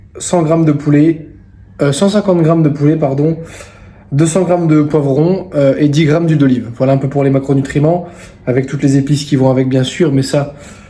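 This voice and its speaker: A man talks at a fairly quick pace with fairly even intonation and very even loudness. Room echo is audible. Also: fairly high pitch for a man. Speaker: fitness coach and vlogger. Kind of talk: casual vlog. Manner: hesitant, many fillers.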